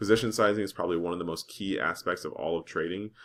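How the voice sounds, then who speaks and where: A man's very deep, low voice at a very fast pace with ordinary pitch variation, against a quiet background. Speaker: stock trading educator. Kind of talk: screen-share tutorial. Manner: casual with fillers.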